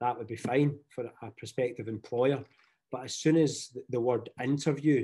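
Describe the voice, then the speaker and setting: In a Scottish accent, a man with a medium pitch and a dark, mellow tone talks at a moderate pace with monotone, flat intonation. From Scotland, Glasgow. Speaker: teacher. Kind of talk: webinar presentation.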